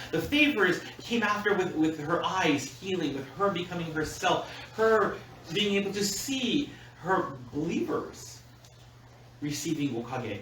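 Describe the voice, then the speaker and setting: A man with a high pitch and very wide pitch swings, fairly slow, with long and frequent pauses, noticeable background noise and audible room echo. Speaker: minister. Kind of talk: sermon. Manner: loud; animated.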